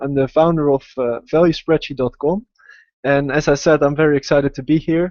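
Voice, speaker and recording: A man speaks with a Dutch accent at a fairly high pitch. His intonation stays fairly even. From Netherlands, Amsterdam. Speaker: investing educator, website founder. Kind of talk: live webinar presentation. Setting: online video webinar. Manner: hesitant, many fillers.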